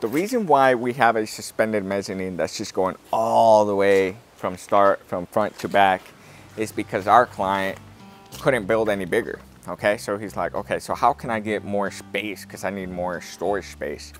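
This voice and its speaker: The sound is dry, with no echo, and faint music plays in the background. A man speaks at a fairly low pitch. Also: ordinary pitch variation, moderate pace. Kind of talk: casual explanatory walkthrough. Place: open country. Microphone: lapel.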